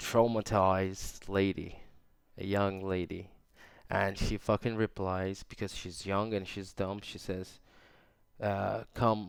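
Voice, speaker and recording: A man talks at a very slow pace in a fairly low, monotone voice with flat intonation. The recording is very clean, with a silent background. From Turkey. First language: Turkish. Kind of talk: casual podcast ramble. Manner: rambling, hesitant.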